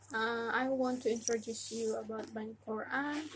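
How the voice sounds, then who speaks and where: Speaking at a very slow pace, a woman with an Indonesian accent has a fairly high pitch. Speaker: religious educator. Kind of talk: casual tutorial. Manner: halting.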